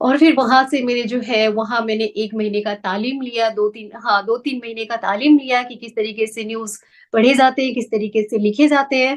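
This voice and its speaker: With a Nepali accent, a woman speaks in fairly even intonation with hardly any pauses, while her loudness swings widely. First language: Nepali (speaking Hindi). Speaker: news anchor and singer. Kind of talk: interview.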